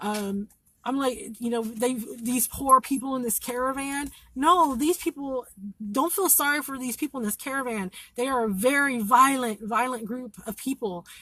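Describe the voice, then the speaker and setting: Projecting her voice, a woman speaks at a moderate pace in a high pitch. Her tone is bright and sharp, with ordinary pitch variation. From Kentucky. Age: 40s. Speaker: citizen live-streamer reporting from the border. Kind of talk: live stream commentary to viewers. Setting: sitting in her car in a parking lot.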